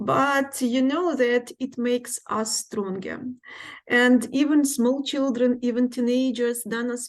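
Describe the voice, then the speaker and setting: The speaker has a Ukrainian accent and a fairly slow pace. The background is quiet. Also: woman. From Ukraine. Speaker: English teacher. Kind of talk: presentation. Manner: hesitant, many fillers.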